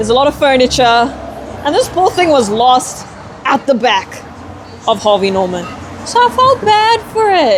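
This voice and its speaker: Amid noticeable background noise, the speaker keeps a moderate pace and an animated tone with very wide pitch swings, very even loudness and long, frequent pauses. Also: woman, high pitch for a woman. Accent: South African. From South Africa. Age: young. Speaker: model. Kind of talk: casual chat.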